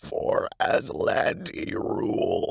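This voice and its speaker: The put-on character voice is raspy. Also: man. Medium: solo performance. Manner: cautious, advising.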